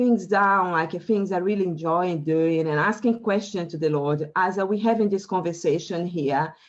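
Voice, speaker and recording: A woman in a Brazilian Portuguese accent, with ordinary pitch variation. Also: quiet background. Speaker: life coach. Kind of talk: interview. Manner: halting.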